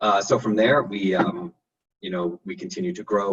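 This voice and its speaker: In a New York accent, the speaker moves at a fairly quick pace with very wide pitch swings, in a dry, close sound with no echo. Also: man. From New York, Long Island. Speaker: architect, design firm director. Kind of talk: interview. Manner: casual with many fillers.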